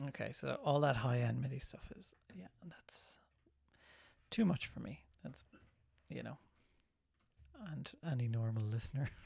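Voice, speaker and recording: With an Irish accent, a man speaks at a moderate pace, taking long, frequent pauses, his loudness swinging widely. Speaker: film composer and live stream host. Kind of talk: tutorial. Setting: live stream. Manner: casual, relaxed.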